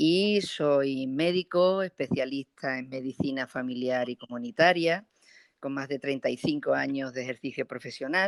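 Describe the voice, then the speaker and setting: A woman speaks with a very deep, low pitch. Her pace is fairly slow, with ordinary pitch variation. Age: 60s. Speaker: physician, public health official. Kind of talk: interview. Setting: internet call. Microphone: sound is good.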